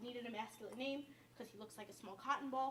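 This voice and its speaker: A strong downstate New York accent in monotone, flat intonation, with noticeable background noise. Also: woman. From Westchester, New York (downstate). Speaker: cooking show host. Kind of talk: cooking demonstration. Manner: casual, chatty.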